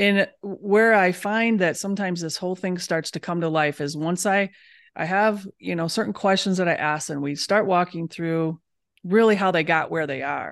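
A woman with an American accent has an unremarkable speaking voice, fairly low in pitch with ordinary variation. She talks at a moderate pace against a quiet background. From Michigan, US Midwest. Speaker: holistic dentist. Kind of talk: casual interview chat.

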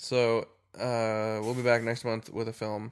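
The speaker is a man with a medium-pitched voice. His intonation is monotone and flat. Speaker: podcast host. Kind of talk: casual banter about movies. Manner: joking.

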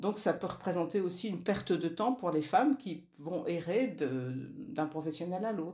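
Lively intonation marks this woman's fairly low voice. She speaks at a fairly slow pace with a dark, mellow tone. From northern France (Nord, Lille). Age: 60s. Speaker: feminist activist, former family planning association co-president. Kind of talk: interview.

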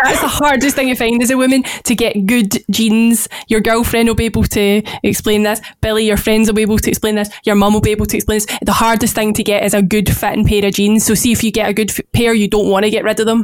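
Over music in the background, a woman with a Glaswegian accent speaks at a very fast pace and fairly high pitch, with monotone, flat intonation and very even loudness. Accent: Glaswegian Scottish. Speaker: podcast co-host. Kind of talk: casual chat. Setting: remote recording.

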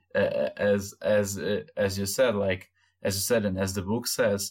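A man speaks with a Brazilian accent at a fairly low pitch. His intonation is flat and monotone. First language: Portuguese. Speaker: podcast host. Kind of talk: casual chat. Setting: video call.

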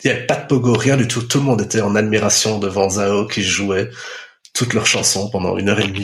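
A man talks with fairly low pitch, fairly even intonation and a moderate pace. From Belgium, Brussels. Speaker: former music reviewer. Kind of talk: casual chat.

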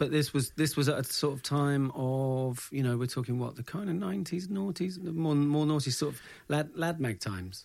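At a moderate pace and fairly high pitch, a man speaks with lively intonation on a very clean recording with a silent background. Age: 30s. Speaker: podcast host. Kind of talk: casual chat. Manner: halting.

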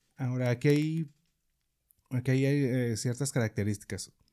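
His voice has a dark, mellow tone at medium pitch for a man. He speaks fairly slowly with fairly even intonation. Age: 40s. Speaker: podcast host. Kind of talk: casual chat; reading aloud.

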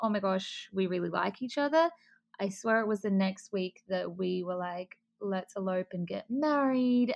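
A woman with an Australian accent on a very clean recording, the background silent. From Australia, Adelaide. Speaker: bride. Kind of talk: interview.

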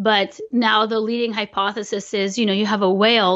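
A woman speaks at medium pitch and a moderate pace with fairly even intonation, in an unremarkable speaking voice. The background is quiet. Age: 40s. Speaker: biomechanist. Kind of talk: interview.

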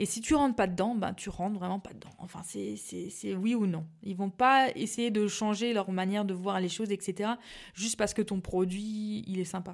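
A woman of medium pitch speaks at a moderate pace in an ordinary speaking voice, with fairly even intonation and big swings in loudness. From Alsace, France (Mulhouse). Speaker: pastry business founder. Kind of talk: interview.

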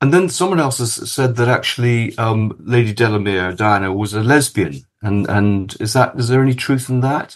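Against a quiet background, a man with a British accent speaks at medium pitch and a moderate pace, with ordinary pitch variation and hardly any pauses. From Kenya. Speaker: podcast co-host. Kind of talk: casual chat and interview.

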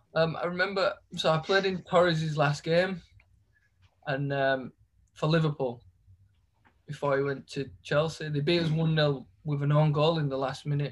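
With a Yorkshire accent, a man speaks at a fairly high pitch in a somewhat breathy voice, his intonation fairly even and his pauses long and frequent. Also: moderate pace. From Leeds, northern England. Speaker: professional footballer. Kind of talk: casual chat.

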